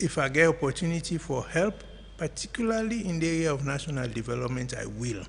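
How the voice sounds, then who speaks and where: In a Sierra Leonean accent, a man talks at a very fast pace with a fairly high pitch and lively intonation. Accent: Sierra Leonean English with Krio. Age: 70s. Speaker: political commentator. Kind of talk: radio interview.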